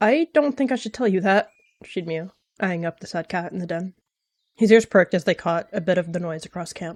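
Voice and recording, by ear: The background is quiet while a passage is read aloud in a natural voice.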